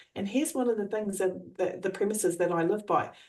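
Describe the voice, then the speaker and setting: A woman's dark, mellow voice with an Australian accent. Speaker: trainer and coach. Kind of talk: coaching explanation.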